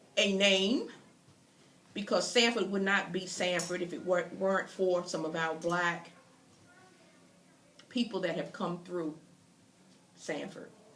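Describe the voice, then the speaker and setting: With an American accent, a woman speaks at a medium pitch and a fairly slow pace, leaving long, frequent pauses. Her intonation is fairly even, and audible room echo is present. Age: 60s. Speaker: interviewer. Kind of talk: interview introduction. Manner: halting.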